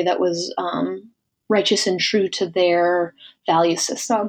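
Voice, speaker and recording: This is an ordinary speaking voice from a woman. She keeps a moderate pace and fairly even intonation. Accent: American. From rural US Midwest. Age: 30s. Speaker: business advisor. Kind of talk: casual interview.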